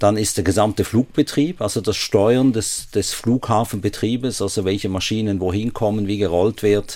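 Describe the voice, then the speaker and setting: With a slight Swiss German accent, a man speaks at a moderate pace, using a fairly low pitch and fairly even intonation. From Switzerland, Basel. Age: 60s. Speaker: airport chief executive. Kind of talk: radio interview. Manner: hesitant, frequent fillers.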